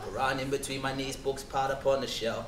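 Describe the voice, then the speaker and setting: A man with a London accent, fairly high-pitched and very fast, with audible room echo and light background noise. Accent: London English, multicultural London. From England, south London. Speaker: spoken word performer. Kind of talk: testimony. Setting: stage with audience. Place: hall.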